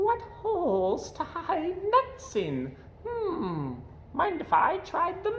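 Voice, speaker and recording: A squeaky, put-on character voice speaks at a very slow pace. Background noise is clearly heard. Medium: read story.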